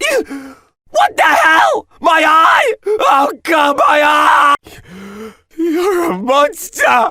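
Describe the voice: A put-on character voice from a man, extremely high-pitched, bright and sharp, raised to a shout, with big pitch swings at a very slow pace.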